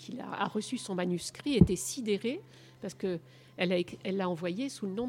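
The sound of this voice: Normal pitch variation marks this unforced reading voice.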